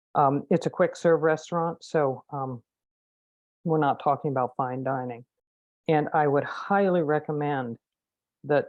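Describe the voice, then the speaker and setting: A woman with an American accent speaks with a very deep, low pitch at a fairly slow pace, in fairly even intonation. The sound is dry and close with no echo, over a quiet background. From Marin County, California. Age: 60s. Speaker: restaurant manager, resident giving public comment. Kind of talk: public comment at council meeting. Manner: halting.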